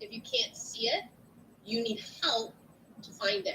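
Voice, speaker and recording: A loud woman's voice, fairly high in pitch, at a fairly slow pace. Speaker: nursing instructor. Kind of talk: lecture. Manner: animated.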